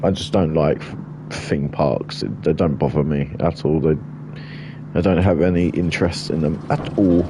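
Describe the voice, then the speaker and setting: Noticeable background noise accompanies a man with a very deep, low pitch who speaks at a moderate pace with ordinary pitch variation. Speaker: game streamer. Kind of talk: live game commentary. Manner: casual, rambling.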